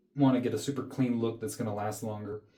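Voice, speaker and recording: A man's dark, mellow tone at a fairly quick pace, fairly even intonation, and audible room echo. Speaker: health coach, skincare video creator. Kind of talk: tutorial. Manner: casual, conversational.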